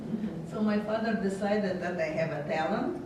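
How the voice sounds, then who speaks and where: A woman of medium pitch speaks at a moderate pace, with audible room echo and noticeable background noise. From Latvia. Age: 80s+. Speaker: Holocaust survivor. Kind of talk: testimony. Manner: halting.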